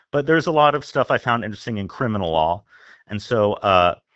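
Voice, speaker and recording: The man has an ordinary speaking voice and an American accent, pitched fairly low. He moves at a fairly quick pace with lively intonation. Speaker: newspaper opinion editor. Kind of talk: casual interview.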